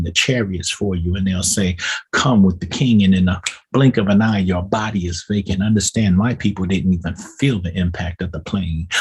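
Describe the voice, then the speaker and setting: With a moderate pace and fairly even intonation, a man speaks at a fairly low pitch, sounding somewhat breathy. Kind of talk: spoken-word poetry, preaching delivery. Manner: preaching cadence, rhythmic poetic delivery.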